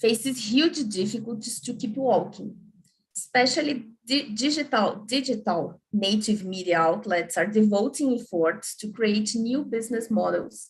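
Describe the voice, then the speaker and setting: A woman's fairly high, somewhat breathy voice with a Portuguese accent, a fairly slow pace, and ordinary pitch variation. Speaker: journalist. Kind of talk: panel talk. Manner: halting.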